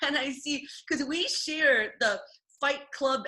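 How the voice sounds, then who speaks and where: A woman's high-pitched, raised and projected voice with a bright, sharp tone. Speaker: martial artist and content creator. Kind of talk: casual chat. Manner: loud, projecting.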